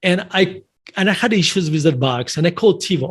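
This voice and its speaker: At a moderate pace, a man with a non-native accent speaks with ordinary pitch variation. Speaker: investor and author. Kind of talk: podcast interview. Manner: halting, many self-corrections.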